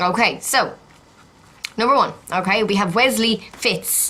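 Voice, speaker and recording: A woman with an Irish accent, fairly high in pitch, with lively intonation over noticeable background noise. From Ireland, County Meath. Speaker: YouTuber, TV show commentator. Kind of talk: casual vlog.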